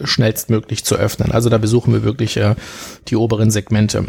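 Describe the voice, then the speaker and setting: Here a man talks at a fairly quick pace. His voice carries vocal fry. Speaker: restaurant manager and gastronomy figure. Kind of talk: podcast interview.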